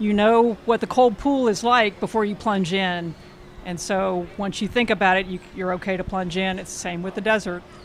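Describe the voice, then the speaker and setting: This woman has an unremarkable speaking voice with medium pitch. She talks at a moderate pace with fairly even intonation. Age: 60s. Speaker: ultramarathon runner. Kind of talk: casual interview.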